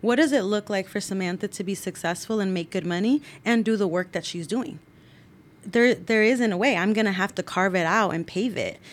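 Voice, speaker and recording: On a very clean recording with a silent background, a woman with an ordinary speaking voice talks at a fairly quick pace. Her pitch is medium, with ordinary pitch variation. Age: 30s. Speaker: youth commission coordinator. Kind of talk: interview.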